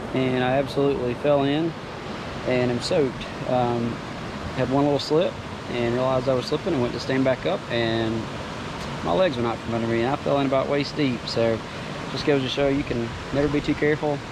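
Over clear background noise, a man speaks at a fairly quick pace and medium pitch, with fairly even intonation.

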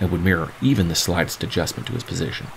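At a very fast pace, a man speaks with a very deep, low pitch over noticeable background noise. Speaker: author reading own novel. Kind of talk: epic fantasy audiobook reading.

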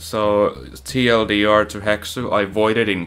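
A man with a non-native accent. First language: not English. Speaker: video game speedrunner streamer. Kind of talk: live gameplay commentary. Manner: casual, profane. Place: home room.

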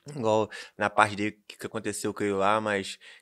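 Against a quiet background, a man speaks in a fairly low pitch with monotone, flat intonation at a moderate pace. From Rio de Janeiro state, Brazil. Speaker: DJ and music producer. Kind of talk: casual chat. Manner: slangy, rambling. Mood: relaxed, casual. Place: studio. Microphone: studio mic.

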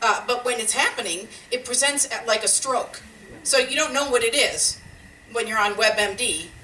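A woman's high-pitched voice moves at a moderate pace with ordinary pitch variation. Light background noise and audible room echo are present. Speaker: stand-up comedian. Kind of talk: stand-up comedy routine. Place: stage.

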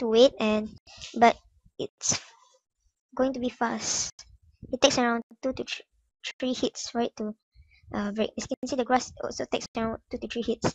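The speaker's squeaky voice moves at a moderate pace with monotone, flat intonation. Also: woman. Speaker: gaming YouTuber. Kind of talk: casual game tutorial voice-over.

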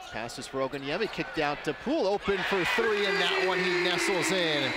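A man's lively intonation comes through noticeable background noise. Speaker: basketball play-by-play announcer. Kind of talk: live sports commentary. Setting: arena broadcast.

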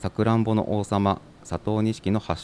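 The recording of this man is dry and close, with no echo. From Yamagata, Shonai region (Sakata). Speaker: prefectural government staff. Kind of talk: reading aloud; interview. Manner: formal, with hesitations.

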